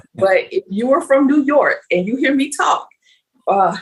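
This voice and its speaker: A woman speaks with an American accent. Her pitch is high, with very wide swings. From US South, Meridian, Mississippi. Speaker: nonprofit chief of staff. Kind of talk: interview.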